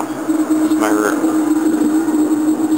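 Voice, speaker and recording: A man mumbling, with noticeable background noise and audible room echo. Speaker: gaming video reviewer. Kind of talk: casual tutorial. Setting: home bedroom, behind the camera. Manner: hesitant, many fillers.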